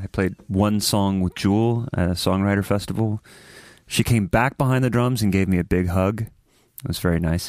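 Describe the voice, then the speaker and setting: A man with an American accent and a plain, everyday voice speaks at a moderate pace and fairly low pitch with ordinary pitch variation, on a very clean, dry, close recording with no echo and a silent background. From Ohio. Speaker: touring musician. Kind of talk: casual chat.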